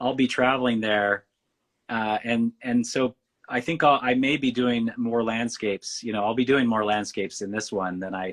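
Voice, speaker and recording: A man with an American accent speaks at medium pitch and a moderate pace, fairly even in intonation, with a dry, close sound and no echo. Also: quiet background. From Western United States. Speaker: painter. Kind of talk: interview.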